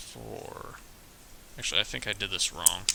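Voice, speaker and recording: Noticeable background noise runs throughout. The tone is relaxed. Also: man. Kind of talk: casual building tutorial talk. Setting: wearing a mask, slightly muffled. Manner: casual, relaxed.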